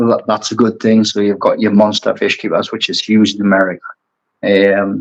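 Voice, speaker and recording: A man with a strong Geordie accent at a fairly quick pace. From Newcastle, northeast England. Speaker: aquascaper and brand ambassador. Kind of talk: casual chat.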